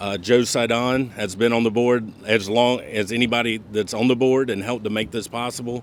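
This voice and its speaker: Speaking in a Southern US accent, a man holds a medium pitch and moderate pace, with monotone, flat intonation and hardly any pauses. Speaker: board chair. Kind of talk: ceremony speech.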